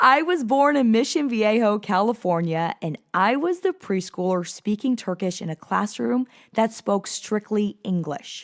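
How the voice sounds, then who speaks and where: With a General American accent, a woman speaks at a medium pitch and moderate pace in an animated tone with lively intonation, the sound dry and close with no echo on a very clean recording with a silent background. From South Florida. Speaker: podcast host, life coach. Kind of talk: casual monologue podcast.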